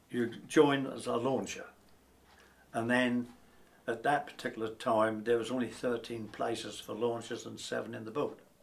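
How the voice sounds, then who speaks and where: At a moderate pace, a man speaks at medium pitch in a flat, monotone way. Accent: Norfolk. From Norfolk, England (Wells). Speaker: retired lifeboat coxswain. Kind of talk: oral history interview.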